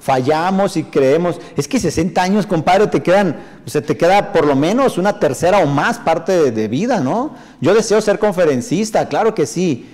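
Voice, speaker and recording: A man's high-pitched, animated voice with lively intonation, very even loudness and a moderate pace. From northern Mexico. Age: 40s. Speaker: motivational speaker and sales trainer; motivational speaker, sales trainer. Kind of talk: live stream talk reading viewer comments. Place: studio.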